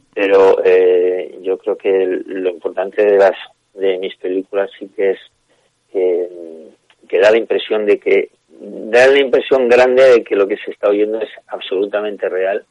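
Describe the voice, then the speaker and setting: Recorded dry and close with no echo, a man speaks at a fairly slow pace with big swings in loudness. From Basque Country, Bilbao. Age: 50s. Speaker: filmmaker. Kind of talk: interview. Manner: halting.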